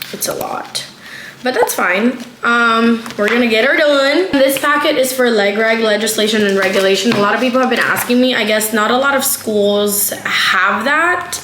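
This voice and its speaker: A woman speaks in a fairly high, animated voice. Her recording has noticeable background noise and audible room echo. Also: ordinary pitch variation, moderate pace. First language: not English. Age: 20s. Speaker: law student vlogger. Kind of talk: casual vlog. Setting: at home.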